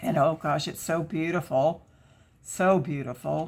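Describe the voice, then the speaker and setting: A woman talks at a moderate pace with a fairly low pitch and vocal fry. Her pitch varies in an ordinary way. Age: 60s. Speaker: craft YouTuber. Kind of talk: casual chat while crafting. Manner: chatty, with many fillers.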